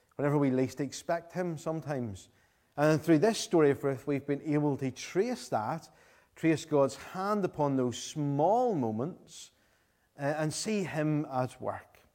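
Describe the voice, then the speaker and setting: A man speaks fairly slowly in a dark, mellow tone. His pitch varies in an ordinary way. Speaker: church service leader. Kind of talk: sermon. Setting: church.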